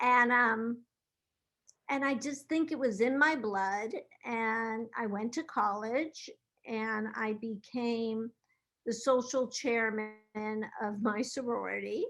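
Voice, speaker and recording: Over music in the background, a woman with a fairly high pitch speaks at a very slow pace, her intonation fairly even. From US West Coast, Los Angeles. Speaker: event planner. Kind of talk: interview.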